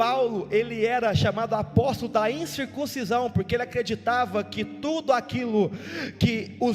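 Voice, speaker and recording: A man at an extremely high pitch and fairly slow pace, with music in the background. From Brazil, São Paulo state. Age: 20s. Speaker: evangelical preacher. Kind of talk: church sermon. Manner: fervent, emphatic, repetitive.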